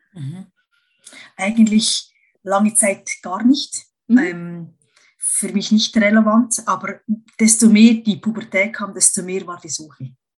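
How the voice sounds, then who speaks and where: Somewhat breathy speech unfolds at a very slow pace with long, frequent pauses, ordinary pitch variation and big swings in loudness. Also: woman, medium pitch for a woman. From Switzerland. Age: 40s. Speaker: cosmetician, masseuse and coach. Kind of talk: casual interview. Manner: halting, with frequent fillers.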